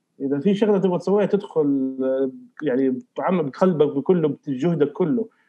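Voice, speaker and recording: A man with a plain, everyday voice speaks at a moderate pace, his pitch fairly high with ordinary pitch variation. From Saudi Arabia, Riyadh. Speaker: filmmaker. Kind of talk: casual chat.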